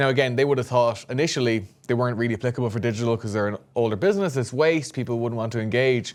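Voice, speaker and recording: With an Irish accent, a man speaks at a very fast pace with hardly any pauses, at a medium pitch with ordinary pitch variation. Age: 20s. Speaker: podcast co-host, startup founder. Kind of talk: casual chat.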